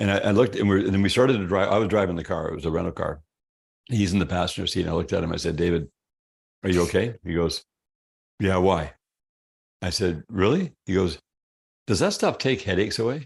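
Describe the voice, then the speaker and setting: Over a quiet background, a man with a resonant, very deep, low voice talks at a very fast pace yet leaves long, frequent pauses. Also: ordinary pitch variation. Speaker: health product company founder. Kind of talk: interview storytelling. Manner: casual, conversational.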